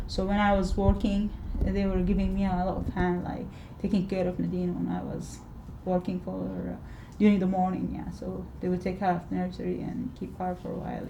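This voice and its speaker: There is noticeable background noise. A woman talks at a fairly quick pace. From Sudan. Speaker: interviewee, immigrant living in Scotland. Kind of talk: interview answer.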